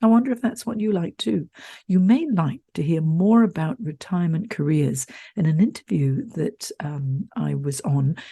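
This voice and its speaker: This woman speaks at a moderate pace in a dark, mellow, somewhat breathy tone, her pitch swinging very widely. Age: 60s. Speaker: career coach. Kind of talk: podcast monologue. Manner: animated.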